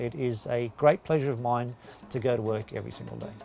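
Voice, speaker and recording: A man talking at a fairly quick pace with ordinary pitch variation, faint music in the background. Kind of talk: interview answer. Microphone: lapel.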